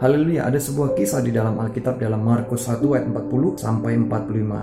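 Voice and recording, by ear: A man's medium-pitched voice at a very fast pace, with ordinary pitch variation and noticeable background noise.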